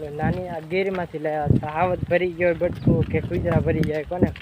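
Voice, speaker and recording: A man's voice over noticeable background noise. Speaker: cattle-herding vlogger. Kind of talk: casual vlog narration. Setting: outdoors with grazing cows.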